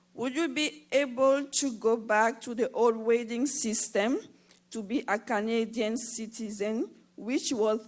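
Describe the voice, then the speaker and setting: A non-native accent at a fairly slow pace, with ordinary pitch variation, in a very clean recording with a silent background. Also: woman. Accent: foreign accent, self-noted. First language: not English. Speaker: audience member. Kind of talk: audience question. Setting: theatre with live audience.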